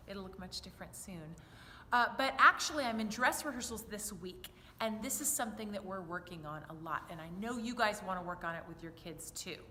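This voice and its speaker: A woman speaks at a fairly quick pace in an animated tone, her loudness swinging widely, with audible echo in the room. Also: medium pitch for a woman, lively intonation. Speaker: children's choir director. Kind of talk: tutorial. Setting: church.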